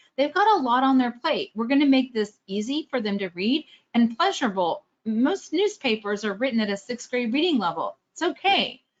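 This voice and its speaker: This woman has a high pitch, very wide pitch swings and a slight Texan accent. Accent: slight Texas. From Texas, Austin. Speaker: fundraising trainer. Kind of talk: webinar presentation. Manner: fast; clearly enunciated.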